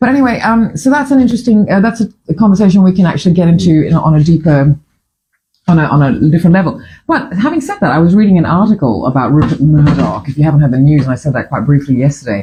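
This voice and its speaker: Her pitch is fairly low for a woman, with very wide swings and a dark, mellow tone. She sounds somewhat breathy and talks at a very fast pace. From Fiji. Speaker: breakfast show host. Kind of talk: casual chat. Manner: halting.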